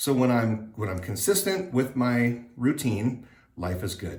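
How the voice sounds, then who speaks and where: The somewhat breathy voice moves at a fairly slow pace amid audible room echo. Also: man. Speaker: vlogger sharing surgery recovery update. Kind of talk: casual vlog update. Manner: hesitant with many fillers.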